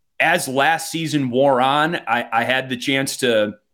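In a very clean recording with a silent background, a man with a Wisconsin accent speaks at a medium pitch with fairly even intonation. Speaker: hockey play-by-play announcer. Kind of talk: casual interview.

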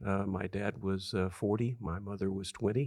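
A man speaks with an American accent in a normal speaking voice, fairly low in pitch and fairly slow in pace. His intonation is fairly even, and the recording is very clean with a silent background. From Southern California desert farm town. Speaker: author and leadership consultant. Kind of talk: interview.

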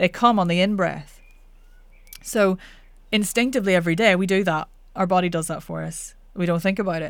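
With a Northern Irish accent, a woman talks at a fairly quick pace and a medium pitch, her intonation fairly even and broken by long, frequent pauses. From Northern Ireland. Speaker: voice coach. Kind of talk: casual interview.

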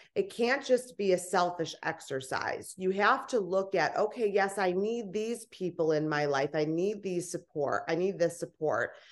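A woman talks at a moderate pace and medium pitch with hardly any pauses and ordinary pitch variation. Hers is a plain, everyday voice, heard over a quiet background. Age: 30s. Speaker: author and personal growth strategist. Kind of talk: interview.

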